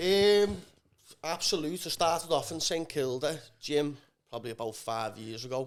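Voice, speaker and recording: The recording is very clean, with a silent background. A fairly high-pitched man speaks at a moderate pace with lively intonation and long, frequent pauses. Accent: Scouse. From northern England, Liverpool. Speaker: amateur athlete training for Ironman. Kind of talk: casual chat.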